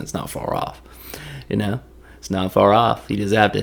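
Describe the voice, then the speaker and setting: A man with a Tennessee accent talks at a moderate pace and a fairly low pitch. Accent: Southern US, Tennessee. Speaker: commentator retelling a movie plot. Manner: casual, joking storyteller.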